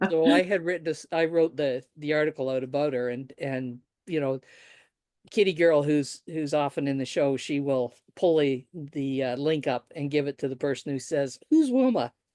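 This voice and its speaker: Against a quiet background, a woman with a very deep, low pitch and a dark, mellow tone talks at a moderate pace with ordinary pitch variation, the sound dry and close with no echo. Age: 60s. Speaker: writer and podcaster. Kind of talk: interview conversation.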